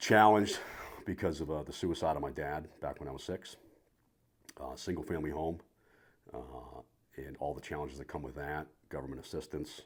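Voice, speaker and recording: Speaking at a fairly quick pace yet with long, frequent pauses, a man with a slight New England accent has a very deep, low pitch, vocal fry and ordinary pitch variation. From Rhode Island, New England. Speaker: retired naval officer. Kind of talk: podcast interview.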